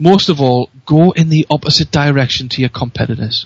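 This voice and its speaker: A man with a Geordie accent sounds energetic and enthusiastic at a fairly high pitch. He keeps a moderate pace, and the sound is dry and close with no echo. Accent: Newcastle (Geordie) English. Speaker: radio show guest, marketing speaker. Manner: energetic, enthusiastic.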